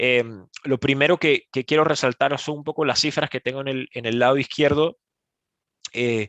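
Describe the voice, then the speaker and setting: Fairly high-pitched male voice at a moderate pace, with fairly even intonation, a dry, close sound with no echo and a quiet background. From Panama. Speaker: e-commerce speaker. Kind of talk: webinar presentation. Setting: online webinar. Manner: halting, many fillers.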